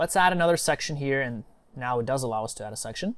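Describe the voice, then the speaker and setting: With a non-native accent, a man speaks at a fairly quick pace and uses lively intonation. The recording is very clean, with a silent background. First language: not English. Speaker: online marketing tutor. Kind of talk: screen-share tutorial. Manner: casual, with many fillers.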